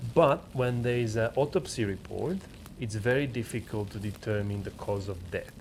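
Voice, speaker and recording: A man's somewhat breathy voice at a medium pitch, with ordinary pitch variation and a moderate pace. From Slovakia. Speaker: podcast co-host. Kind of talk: casual chat. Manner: halting.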